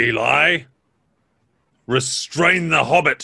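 A man puts on a character voice that growls. It is raspy and fairly high-pitched. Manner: growling, commanding.

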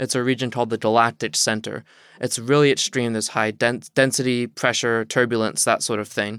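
In an American accent, a man speaks at a medium pitch and a fairly quick pace with fairly even intonation. The recording is very clean, and the background is silent. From US South, southeast Virginia. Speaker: astrophysics student. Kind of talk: interview.

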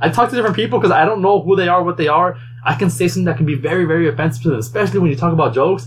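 Over noticeable background noise, a man talks at a very fast pace with lively intonation and very even loudness. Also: fairly high pitch for a man. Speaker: podcast host. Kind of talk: casual chat. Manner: fast talker.

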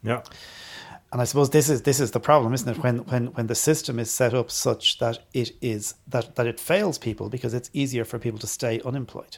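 A man with an Irish accent speaks somewhat breathily at a medium pitch and a fairly quick pace. His pitch varies in an ordinary way, on a very clean recording with a silent background. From Ireland. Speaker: podcast co-host. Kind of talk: casual chat.

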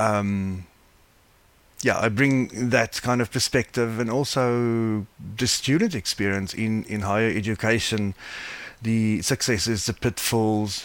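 A man talks at a fairly slow pace. His pitch sits in the medium range. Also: fairly even intonation. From South Africa. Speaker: blindness advocacy board member. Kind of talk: interview. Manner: halting.

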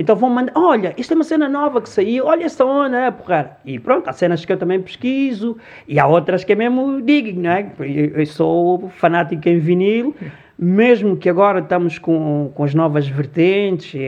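A man's high voice swings very widely in pitch while he keeps a moderate pace. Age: 50s. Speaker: DJ and music promoter. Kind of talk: casual chat.

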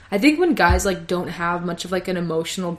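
Noticeable background noise fills this clip. The speaker is a woman. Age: 20s. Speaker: podcast co-host. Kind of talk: casual chat. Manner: animated.

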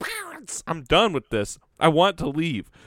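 A fairly high-pitched put-on character voice from a man. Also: moderate pace. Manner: angry, tantrum.

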